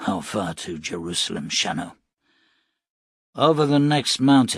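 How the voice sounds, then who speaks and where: A man does a put-on character voice, raspy and medium-pitched. His pitch swings very widely against a quiet background. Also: moderate pace. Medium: read story. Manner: low, introspective.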